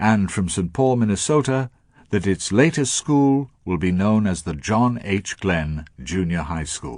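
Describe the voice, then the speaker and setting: Pitch leaps and dips very widely at a fairly slow pace over a quiet background. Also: man, fairly low pitch for a man. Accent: British. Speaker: broadcaster. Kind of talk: radio letter broadcast. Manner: elegant narration.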